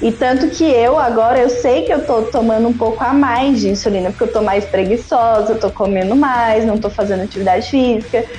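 Music plays in the background as a woman talks at a fairly quick pace in a fairly high voice, her pitch varying in an ordinary way and her loudness very even. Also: hardly any pauses. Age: 20s. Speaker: type 1 diabetic biomedical scientist and diabetes educator. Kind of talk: casual chat.

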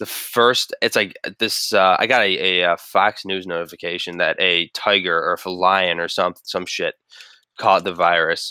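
Male voice at a moderate pace, with a dry, close sound and no echo. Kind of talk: casual chat. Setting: video call.

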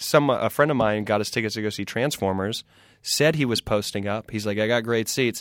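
A man speaks at a fairly quick pace in a medium pitch with ordinary pitch variation and a plain, everyday voice, recorded dry and close with no echo against a silent background on a very clean recording. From US South (South Carolina). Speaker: comedian. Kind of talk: casual chat.

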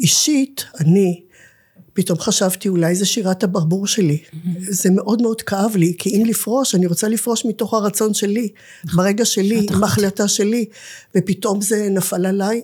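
A woman's voice is somewhat breathy, with a dark, mellow tone at medium pitch. She keeps a moderate pace and ordinary pitch variation. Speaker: nonprofit director and academic lecturer. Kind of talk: interview conversation.

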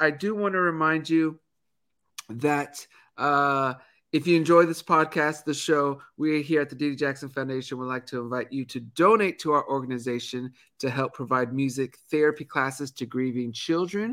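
Recorded very cleanly against a silent background, a man speaks at a moderate pace in a bright, sharp tone, his fairly high pitch showing ordinary variation. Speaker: podcast host. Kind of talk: casual chat.

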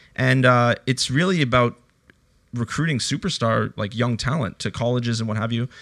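A man speaks at a moderate pace and medium pitch in a plain, everyday voice. The recording is very clean, with a silent background. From Canada. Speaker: podcast host. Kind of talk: casual chat.

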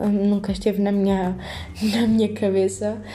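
A woman speaks fairly slowly at a medium pitch with monotone, flat intonation. Noticeable background noise is present. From Portugal, Alentejo (Montemor-o-Novo, Évora district). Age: 18. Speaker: university student podcaster. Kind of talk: casual unscripted monologue. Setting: at home on her bed.

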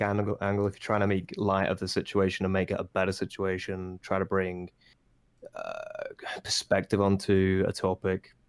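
Speech comes at a moderate pace with a British accent. The recording is very clean, with a silent background. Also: man. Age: 20s. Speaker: Twitch streamer. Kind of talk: casual chat.

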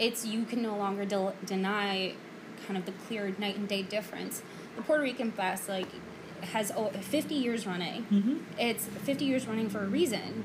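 A woman with an American accent talks at a moderate pace and medium pitch, with ordinary pitch variation. Noticeable background noise runs beneath her. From the Bronx, New York City. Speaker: guest co-host. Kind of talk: casual chat.

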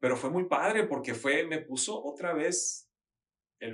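A man speaks at a moderate pace. He has a plain, everyday voice. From Mexico, Sinaloa (Mazatlán, Culiacán). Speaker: interior designer and architect. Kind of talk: casual interview.

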